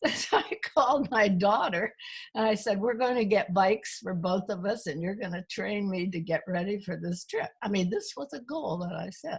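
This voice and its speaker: The woman's voice carries a somewhat breathy quality. Her intonation is lively. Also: medium pitch for a woman, moderate pace. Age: 90s. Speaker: retired chemist and consultant. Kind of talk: interview.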